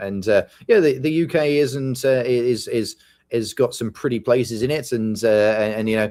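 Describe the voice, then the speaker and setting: At a moderate pace, a man with a British accent speaks at medium pitch in a dark, mellow tone with ordinary pitch variation. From UK. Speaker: podcast co-host. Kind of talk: casual chat.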